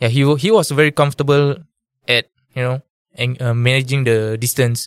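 Here a man speaks at a medium pitch and a moderate pace with fairly even intonation. The sound is dry and close, with no echo. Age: 20s. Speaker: amateur MMA fighter. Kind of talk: interview.

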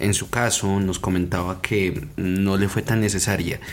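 This man talks at a fairly slow pace with a very deep, low pitch. Background noise is noticeable. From Colombia. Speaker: podcast host. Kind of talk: interview.

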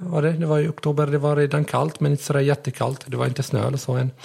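A man with a non-native accent speaks in a fairly high, somewhat breathy voice. His intonation is monotone and flat. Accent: near-native Swedish. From Syria. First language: Arabic (speaking Swedish). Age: 20s. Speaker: blind rider. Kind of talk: interview. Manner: halting.

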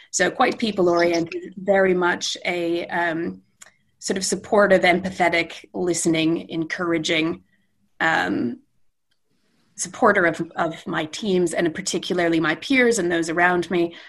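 A woman with a Canadian accent speaks at a fairly slow pace and fairly low pitch, with ordinary pitch variation. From Western Canada. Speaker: IT director. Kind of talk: interview conversation. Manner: enthusiastic.

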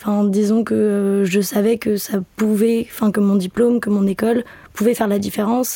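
With a dark, mellow tone, a woman speaks at a medium pitch in a monotone, flat intonation, keeping a moderate pace and very even loudness. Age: 20s. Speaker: student. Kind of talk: casual chat. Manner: halting.

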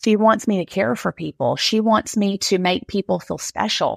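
A woman speaks at a moderate pace and medium pitch in a plain, everyday voice. The recording is very clean, with a silent background and a dry, close sound free of echo. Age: 50s. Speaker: therapist. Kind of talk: casual interview.

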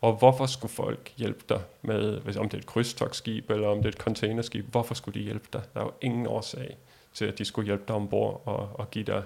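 This man speaks at a fairly low pitch in a monotone, flat intonation with vocal fry. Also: moderate pace. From Denmark. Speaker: world traveler. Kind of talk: interview.

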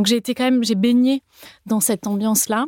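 Someone speaks in a slight Toulouse accent, with a dry, close sound with no echo on a very clean recording with a silent background. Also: woman. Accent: slight southern French (Toulouse). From France, Toulouse. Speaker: cookbook author and food creator. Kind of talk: interview conversation. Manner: hesitant, many fillers.

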